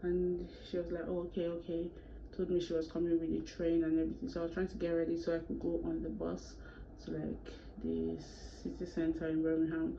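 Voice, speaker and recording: A woman talks at a fairly quick pace, her voice carrying audible room echo. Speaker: YouTuber. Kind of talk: storytime vlog. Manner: fast; animated.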